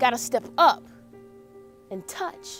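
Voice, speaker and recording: An American accent with music in the background. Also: woman. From Charlotte, North Carolina. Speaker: motivational speaker. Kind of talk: spoken word poetry performance. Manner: rhythmic, impassioned.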